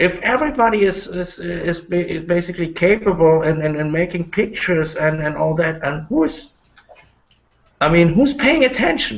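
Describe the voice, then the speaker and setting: A man with a German accent speaks at a moderate pace, his high pitch carried by lively intonation. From Germany. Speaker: online panel host. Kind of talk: panel discussion. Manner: halting.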